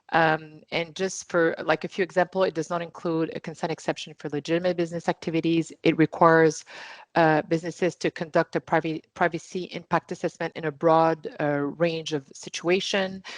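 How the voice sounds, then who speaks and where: A woman speaks with a Quebec accent at a fairly quick pace, barely pausing, her pitch fairly low. Her intonation is monotone and flat, the sound dry and close with no echo against a quiet background. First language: French. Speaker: privacy lawyer panelist. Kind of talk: online panel discussion.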